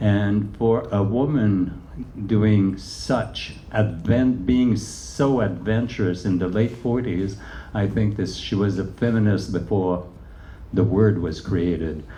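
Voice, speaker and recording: A man speaks at a very slow pace with a fairly low pitch and ordinary pitch variation. Audible room echo surrounds his voice. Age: 70s. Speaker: choreographer and dancer. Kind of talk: onstage interview. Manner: halting, many fillers.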